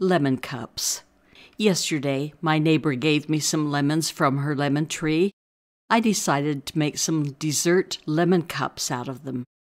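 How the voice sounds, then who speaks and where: A woman talks at a fairly slow pace with a very deep, low pitch and ordinary pitch variation. The recording is very clean, with a silent background. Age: 80s+. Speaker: retired mathematics teacher, keto cooking channel host. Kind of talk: casual cooking tutorial narration.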